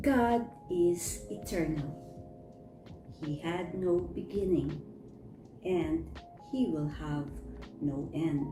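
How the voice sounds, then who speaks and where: With music in the background, a woman speaks at a very slow pace with long, frequent pauses. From Philippines. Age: old. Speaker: storyteller. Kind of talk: bible story reading.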